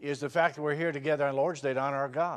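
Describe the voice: A man's fairly high pitch, fairly bright tone, and fairly quick pace, with ordinary pitch variation.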